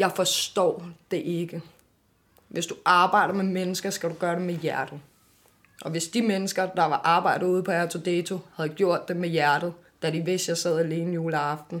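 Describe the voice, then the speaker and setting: At a moderate pace, a woman speaks at a fairly low pitch in a monotone, flat intonation. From Denmark, Amager (Copenhagen). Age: 20s. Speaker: author and children's advocate. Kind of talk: interview testimony. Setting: café.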